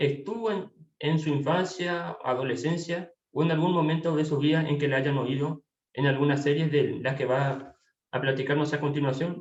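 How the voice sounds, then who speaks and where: A man speaks with a fairly high pitch at a moderate pace, with ordinary pitch variation. His is a plain, everyday voice, and his loudness stays very even. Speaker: interviewer. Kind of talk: interview questions, casual.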